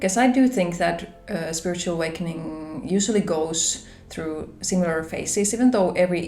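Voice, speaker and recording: Amid noticeable background noise and audible room echo, a woman with a Finnish accent speaks at a moderate pace in a fairly low pitch. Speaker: spiritual vlogger. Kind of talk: personal vlog talk. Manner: hesitant, conversational.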